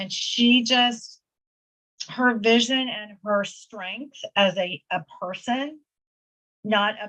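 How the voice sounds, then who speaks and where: A normal speaking voice with lively intonation. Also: woman. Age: 60s. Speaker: podcast host, real estate coach. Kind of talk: podcast interview.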